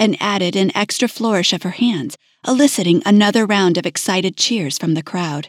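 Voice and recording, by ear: The pitch moves in an ordinary way. This is reading aloud in a natural voice.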